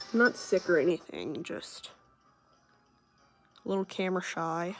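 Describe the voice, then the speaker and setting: With music in the background, a woman speaks fairly low at a moderate pace, using ordinary pitch variation. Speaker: gaming youtuber. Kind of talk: gameplay tutorial. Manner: shaky, halting.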